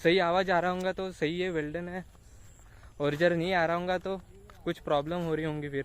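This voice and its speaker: A man talks in a high pitch. His intonation stays fairly even. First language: Marathi (speaking Hindi). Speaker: vlogger. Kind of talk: travel vlog. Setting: outdoors. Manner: casual.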